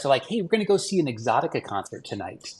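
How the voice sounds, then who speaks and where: A man with a somewhat breathy voice is speaking. His pitch swings very widely. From Hawaii. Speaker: tiki mug artist. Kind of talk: casual interview storytelling. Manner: animated; halting, many fillers.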